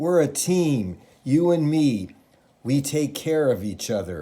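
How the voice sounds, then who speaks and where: A man uses a raspy, put-on character voice at a fairly high pitch. He speaks fairly slowly, and his pitch swings very widely. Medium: read story. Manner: wheedling.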